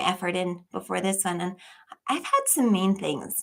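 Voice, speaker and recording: This is a woman speaking at a medium pitch. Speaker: online tutor for high school equivalency tests. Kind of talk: live stream Q&A. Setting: live stream.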